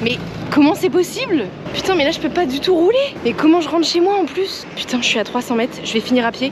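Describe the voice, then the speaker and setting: A woman talks at a fairly quick pace in a high voice with very wide pitch swings. Noticeable background noise sits behind her. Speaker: food delivery courier and vlogger. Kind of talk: casual vlog narration. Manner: animated; hushed speech in stairwell.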